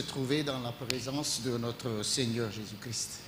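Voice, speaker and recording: A man speaking at a very slow pace amid noticeable background noise and audible room echo. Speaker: pastor. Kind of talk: sermon. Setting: church. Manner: halting.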